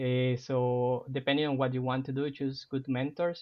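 A man speaks with a Spanish accent at a medium pitch. His intonation is flat and monotone, and his pace is moderate. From Colombia, Cartagena (Caribbean coast). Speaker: university professor. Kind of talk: podcast interview.

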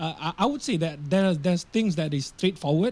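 A man's voice sits high for a man, with a dark, mellow tone and ordinary pitch variation. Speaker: rapper. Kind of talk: casual chat.

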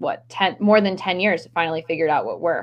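A woman with an American accent has an unremarkable speaking voice, a medium pitch and ordinary pitch variation. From Maryland. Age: young. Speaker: stress management coach. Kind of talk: casual interview.

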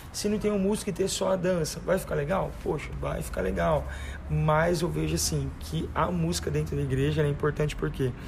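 The pace is fairly quick as this man talks. His words carry audible room echo. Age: 20s. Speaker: church music minister. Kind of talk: casual chat.

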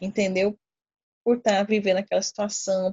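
A woman talks at medium pitch with monotone, flat intonation. Her voice is somewhat breathy. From Brazil, Cuiabá, Mato Grosso. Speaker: infectious disease doctor. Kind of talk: casual chat.

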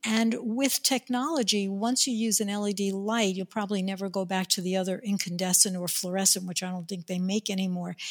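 A woman with an ordinary speaking voice and medium pitch talks at a fairly quick pace. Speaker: podcast host. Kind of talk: interview, casual chat.

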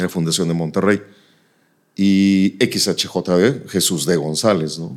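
In a very clean recording with a silent background, a man with a very deep, low pitch talks very slowly, his pitch varying in an ordinary way. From northern Mexico, Nuevo Laredo (border). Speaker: radio announcer. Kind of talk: casual interview.

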